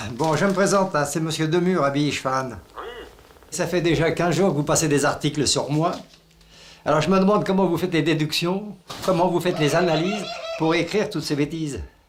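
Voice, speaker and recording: The speaker moves at a fairly quick pace with long, frequent pauses, fairly even intonation and very even loudness, while audible room echo and noticeable background noise sit in the recording. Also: man, fairly high pitch for a man. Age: 70s. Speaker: retired villager in a neighbour dispute. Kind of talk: heated phone complaint. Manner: angry, loud.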